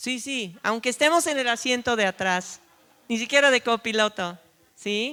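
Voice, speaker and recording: A woman with a non-native accent speaks at a fairly slow pace in a fairly high, bright, sharp voice with ordinary pitch variation. The sound is dry and close, with no echo. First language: not Spanish (speaking Spanish). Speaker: preacher. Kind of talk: sermon.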